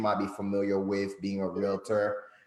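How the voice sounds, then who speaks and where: Here a man speaks with a Haitian accent. His pitch is fairly low and his pace moderate. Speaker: credit consultant. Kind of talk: guest interview.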